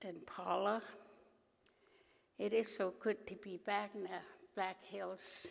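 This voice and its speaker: At a very slow pace, a woman talks with vocal fry and monotone, flat intonation, leaving long, frequent pauses. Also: medium pitch for a woman. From Alaska, Arctic Village (Gwich'in). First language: Gwich'in. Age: 80s+. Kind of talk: conference speech.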